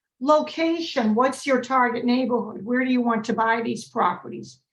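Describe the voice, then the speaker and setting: Here a woman speaks with a Massachusetts accent. Her pitch is high. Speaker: real estate broker and investor. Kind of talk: webinar presentation.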